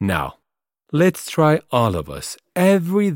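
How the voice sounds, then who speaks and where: In a non-native accent, the speaker uses a warm tone and very wide pitch swings at a moderate pace, the sound dry and close with no echo. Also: man. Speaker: podcast host. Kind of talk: solo podcast monologue, reflective and inspirational. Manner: warm, encouraging, earnest.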